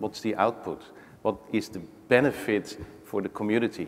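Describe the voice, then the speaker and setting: A man's fairly low-pitched voice with a Dutch accent. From Netherlands, Rotterdam. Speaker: technology executive, panelist. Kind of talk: panel discussion. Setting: stage with audience.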